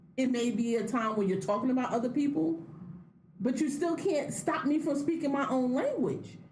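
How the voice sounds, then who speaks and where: With audible room echo and noticeable background noise, a woman speaks at a high pitch with lively intonation. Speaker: podcast co-host. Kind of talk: casual chat.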